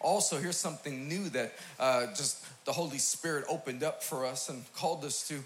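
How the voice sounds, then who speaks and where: A man with a fairly high pitch talks at a fairly quick pace in an American accent. Audible room echo and noticeable background noise fill the recording. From New York City, Queens. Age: 40s. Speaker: pastor. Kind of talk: sermon. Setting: church stage with audience. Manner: animated.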